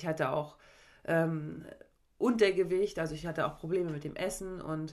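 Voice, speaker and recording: An ordinary speaking voice from a woman, moderately paced and with ordinary pitch variation. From Mecklenburg-Vorpommern, Germany (Parchim/Schwerin). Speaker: sports psychologist and former volleyball player. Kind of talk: casual chat.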